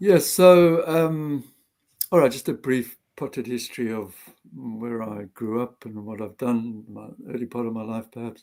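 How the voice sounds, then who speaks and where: Speaking with a South African accent, a man has a dark, mellow tone at a medium pitch with ordinary variation. He talks at a fairly slow pace, with big swings in loudness. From South Africa, Johannesburg. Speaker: retired doctor and activist. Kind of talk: interview. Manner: halting.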